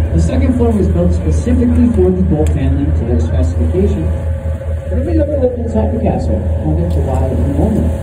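Fairly quick speech against loud background noise. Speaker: tour guide. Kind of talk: tour commentary. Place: boat.

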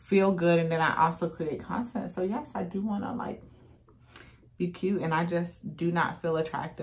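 A woman speaks at a moderate pace in a fairly low pitch. Her voice is somewhat breathy. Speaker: mom vlogger. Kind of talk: casual vlog chat while doing makeup. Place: home room.

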